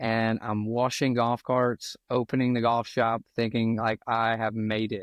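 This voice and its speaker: With a strong South Louisiana accent, a man speaks in a medium pitch at a fairly slow pace, his intonation monotone and flat, with hardly any pauses. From South Louisiana (Cut Off). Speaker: golf professional and entrepreneur, former pastor. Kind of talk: podcast interview, personal story.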